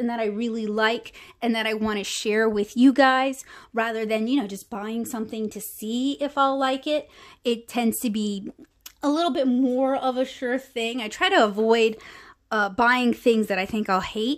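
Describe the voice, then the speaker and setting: With a quiet background, a woman talks at a moderate pace and with ordinary pitch variation. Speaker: art channel host. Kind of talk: product haul review. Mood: enthusiastic, relaxed.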